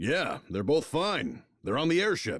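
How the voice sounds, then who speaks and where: Putting on a character voice, a man goes raspy at a fairly high pitch, speaking at a fairly slow pace with very wide pitch swings. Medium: game stream.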